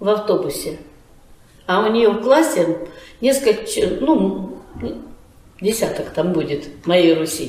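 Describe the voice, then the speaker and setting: With audible room echo and noticeable background noise, a woman talks at a fairly slow pace with very wide pitch swings. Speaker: folk arts school director. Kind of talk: interview. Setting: at her school.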